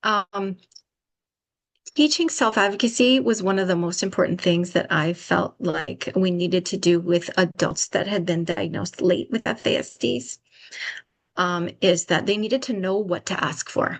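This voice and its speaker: A woman speaks at a moderate pace with medium pitch and lively intonation. It is an ordinary speaking voice. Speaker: public health trainer. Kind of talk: webinar presentation.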